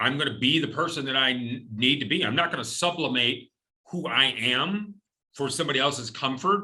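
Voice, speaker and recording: Energetic in tone, a man talks at a fairly quick pace and fairly high pitch with lively intonation. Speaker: company president, former military. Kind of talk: interview. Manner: energetic, big presence.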